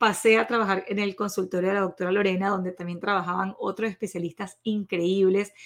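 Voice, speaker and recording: At a moderate pace, the woman talks in a medium-pitched voice. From Venezuela. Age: 40s. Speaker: nutritionist podcast host. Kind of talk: podcast monologue.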